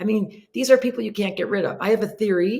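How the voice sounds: A woman's put-on character voice, hoarse and raspy, at medium pitch.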